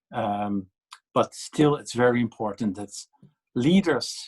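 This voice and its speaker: Someone with a Dutch accent speaks at a fairly slow pace. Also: man. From Netherlands. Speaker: policy panelist. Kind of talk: panel discussion. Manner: halting, many fillers and repetitions.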